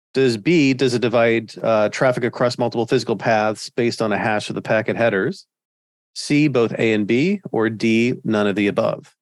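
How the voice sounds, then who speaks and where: This is an ordinary speaking voice at a moderate pace with ordinary pitch variation. The recording is very clean, with a silent background. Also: man, medium pitch for a man. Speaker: network instructor. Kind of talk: technical interview.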